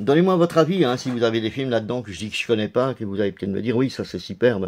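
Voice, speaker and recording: Lively intonation marks this man's medium-pitched voice. It is a normal speaking voice. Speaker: DVD collector youtuber. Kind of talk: casual video presentation.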